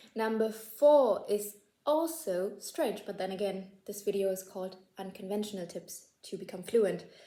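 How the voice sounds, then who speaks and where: A woman's dark, mellow tone in a German accent, with big swings in loudness. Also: medium pitch for a woman, ordinary pitch variation, moderate pace. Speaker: language-learning YouTuber. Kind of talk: casual tutorial to camera. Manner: casual, filler-heavy, self-correcting.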